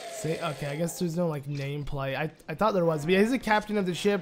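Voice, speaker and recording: Music plays in the background as a man speaks. His pitch is high, with ordinary pitch variation. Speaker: let's play gamer. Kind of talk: gameplay commentary.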